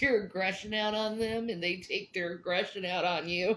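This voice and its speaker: Noticeable background noise accompanies a woman speaking at a moderate pace in a medium pitch. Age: 40s. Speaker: live streamer. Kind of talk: casual chat. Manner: animated.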